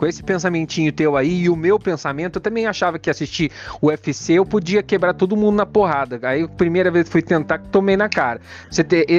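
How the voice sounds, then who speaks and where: A man with a high-pitched voice talks fairly quickly, his pitch varying in an ordinary way. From Curitiba, southern Brazil. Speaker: podcast host. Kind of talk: casual chat.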